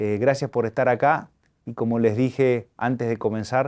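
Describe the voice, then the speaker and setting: In a plain, everyday voice, a man speaks at a moderate pace and medium pitch with fairly even intonation against a quiet background. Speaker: archbishop hosting interview. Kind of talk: interview. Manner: formal.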